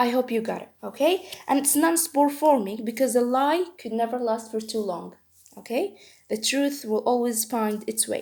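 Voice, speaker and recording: A woman with a non-native accent speaks at a moderate pace in a high pitch, her pitch variation ordinary, on a very clean recording with a silent background. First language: not English. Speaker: medical educator. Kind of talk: tutorial. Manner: halting.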